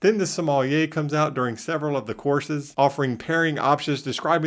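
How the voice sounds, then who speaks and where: A man with a Southern US accent and a fairly high pitch, on a very clean recording with a silent background. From US South. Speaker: travel vlogger. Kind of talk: travel review tips.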